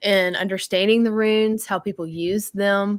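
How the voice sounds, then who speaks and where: A woman with a Southern US accent speaks at a medium pitch with fairly even intonation, in a very clean recording with a silent background and a dry, close sound with no echo. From Tennessee. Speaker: game designer. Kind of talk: casual chat.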